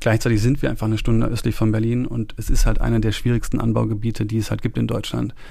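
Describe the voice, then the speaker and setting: With hardly any pauses, a man speaks at a very fast pace in a monotone, flat intonation, against audible room echo and noticeable background noise. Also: medium pitch for a man. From Munich, then Rhineland countryside. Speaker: farmer and entrepreneur. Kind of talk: interview. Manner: casual, with filler words.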